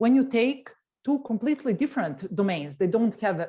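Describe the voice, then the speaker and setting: A woman in a Serbian accent, somewhat breathy, dark and mellow in tone, with very wide pitch swings. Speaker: tech executive. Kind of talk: interview. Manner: hesitant.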